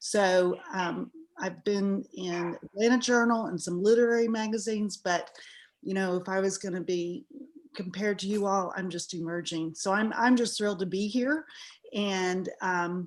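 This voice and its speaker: With a Southern US accent, a woman speaks at moderate pace and medium pitch, her pitch varying in an ordinary way. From Texas. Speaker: writer. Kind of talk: casual self-introduction in a workshop. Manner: hesitant, many fillers.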